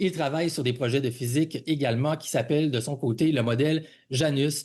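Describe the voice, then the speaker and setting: The quiet background holds a man's somewhat breathy voice. He has a fairly high pitch and a fairly quick pace. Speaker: podcast host. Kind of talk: podcast interview. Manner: halting, many fillers.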